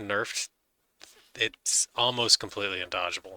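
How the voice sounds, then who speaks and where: A man speaks at a fairly slow pace in a bright, sharp tone. The recording is very clean with a silent background and a dry, close sound with no echo. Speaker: gaming youtuber. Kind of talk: gameplay commentary. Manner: sparse, occasional talk.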